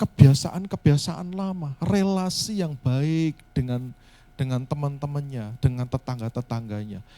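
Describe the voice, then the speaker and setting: A soft-spoken man has a fairly high pitch and a dark, mellow tone. His loudness swings widely. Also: lively intonation, fairly slow pace. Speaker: pastor. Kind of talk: sermon. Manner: halting.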